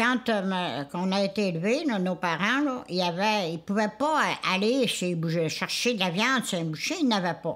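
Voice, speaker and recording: Using a Charlevoix accent, a woman speaks at a moderate pace with lively intonation. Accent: rural Quebec French (Charlevoix). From Quebec, Charlevoix (Isle-aux-Coudres). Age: 90s. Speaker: elder sharing food traditions. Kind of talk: casual interview testimony. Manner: halting, with self-corrections.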